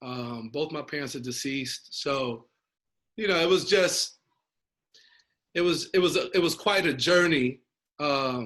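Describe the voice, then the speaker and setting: In a New York accent, a man talks at a fairly slow pace with long, frequent pauses and a fairly high pitch. His tone is bright and sharp, his pitch variation ordinary, and the background quiet. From Brooklyn, New York. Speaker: nonprofit founder. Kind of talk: interview.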